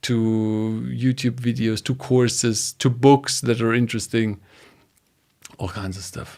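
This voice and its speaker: Speaking fairly slowly with a German accent, a man has a dark, mellow tone. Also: medium pitch for a man, fairly even intonation. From Germany. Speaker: data engineering educator. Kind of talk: podcast interview. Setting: home studio, live stream.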